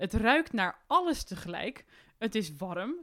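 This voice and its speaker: Her pitch swings very widely around a fairly high level. The woman talks at a fairly slow pace. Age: 20s. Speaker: young adventurer. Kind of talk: casual interview. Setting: indoor recording in Arnhem.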